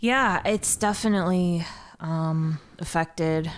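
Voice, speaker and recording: In a very clean recording with a silent background, a woman speaks with an American accent. She has a normal speaking voice, fairly low in pitch, with ordinary pitch variation. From Ohio, US Midwest. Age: 20s. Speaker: comedian. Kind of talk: casual chat. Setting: studio.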